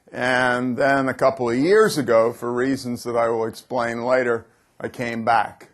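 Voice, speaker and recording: With an American accent, a man talks at a moderate pace. His voice sits at a medium pitch. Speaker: business speaker. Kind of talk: conference keynote talk. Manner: dynamic, swings from loud to quiet.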